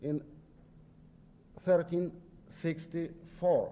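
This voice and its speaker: A man with a Polish accent speaks at a high pitch in a dark, mellow tone. His intonation is monotone and flat. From Poland. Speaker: visiting sociology professor. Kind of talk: lecture. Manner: halting.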